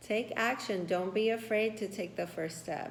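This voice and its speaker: A woman with a Spanish accent speaks in a warm tone at a medium pitch, her intonation fairly even, with audible room echo. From Puerto Rico. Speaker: tarot reader. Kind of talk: tarot reading. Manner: warm, affirming.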